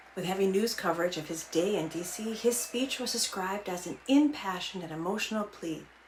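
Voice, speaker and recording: A woman speaks at a fairly quick pace in a medium pitch, her intonation lively, with noticeable background noise behind her. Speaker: political scientist. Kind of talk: explainer talk to camera.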